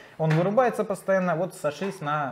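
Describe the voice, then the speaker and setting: A man's lively intonation at a moderate pace, against noticeable background noise. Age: young. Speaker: customer telling his story about a laptop return; guest. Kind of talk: casual interview. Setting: computer repair workshop. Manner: hesitant, with many fillers. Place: studio.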